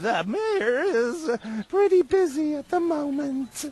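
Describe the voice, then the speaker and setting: In a put-on character voice, a woman speaks fairly slowly at a high pitch, her pitch swinging very widely. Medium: video game. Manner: snippy, bureaucratic.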